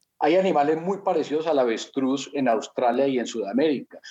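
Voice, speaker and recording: A man with a fairly high pitch and a normal speaking voice, lively in intonation and fairly quick in pace. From Colombia. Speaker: network marketing entrepreneur. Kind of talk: interview.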